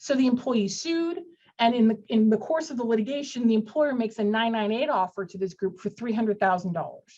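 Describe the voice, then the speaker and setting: A woman's fairly high, dark, mellow voice, somewhat breathy and fairly quick, with lively intonation. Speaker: employment lawyer. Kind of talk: webinar legal presentation. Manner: fast.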